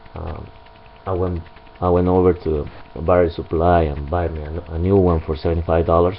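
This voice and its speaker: With a strong non-native accent, a man speaks in a very deep, low voice at a fairly quick pace and in a flat monotone, with light background noise. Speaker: motorcycle owner reviewer. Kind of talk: product review. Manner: hesitant, many fillers. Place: garage. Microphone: camera far.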